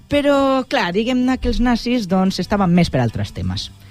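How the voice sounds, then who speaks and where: At a moderate pace, a man speaks with lively intonation while music plays in the background. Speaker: radio presenter and scriptwriter of a history segment. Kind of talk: radio history segment, humorous storytelling.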